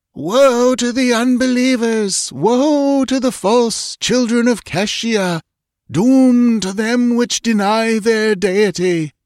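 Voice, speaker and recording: The speaker uses a put-on character voice. Each word comes out very slowly. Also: man, extremely high pitch for a man, ordinary pitch variation. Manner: thunderous, ominous, declaiming.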